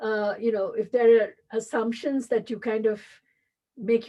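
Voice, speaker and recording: With a Tamil accent, a woman talks at a moderate pace. Her pitch is fairly high. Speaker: business school dean and professor. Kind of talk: interview. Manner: halting, many fillers.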